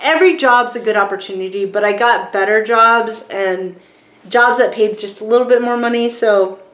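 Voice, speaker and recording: A woman with an American accent, fairly high pitch, ordinary pitch variation and moderate pace, with audible room echo and noticeable background noise. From rural Virginia, US South. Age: 40s. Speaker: filmmaker and book reviewer. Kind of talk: casual vlog book review. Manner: casual, many fillers.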